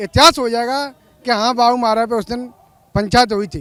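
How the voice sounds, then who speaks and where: A man speaks at an extremely high pitch. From Dholpur, Rajasthan. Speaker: protester. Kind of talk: street interview.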